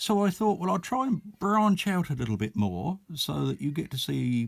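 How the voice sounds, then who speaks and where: A man with an Essex accent, very wide pitch swings, and a fairly quick pace. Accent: broad Essex. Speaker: miniatures shop owner. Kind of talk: casual product video talk.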